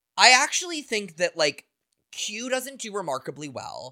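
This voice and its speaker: Raised and projected, a man's bright, sharp voice moves at a fairly slow pace with very wide pitch swings. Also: very clean recording, silent background. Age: 30s. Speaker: podcast co-host. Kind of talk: casual chat.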